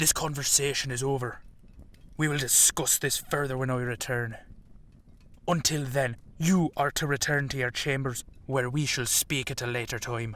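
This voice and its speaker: In a put-on character voice with a stern tone, a man speaks at medium pitch and a moderate pace, leaving long, frequent pauses, on a very clean recording with a silent background. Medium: audio drama. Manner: commanding, stern.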